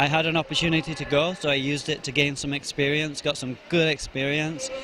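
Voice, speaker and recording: Over noticeable background noise, a man with a Yorkshire accent talks at a moderate pace and a fairly high pitch. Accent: British, Yorkshire; mistaken for Australian. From Yorkshire, England. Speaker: arm wrestler, national champion. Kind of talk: interview at competition.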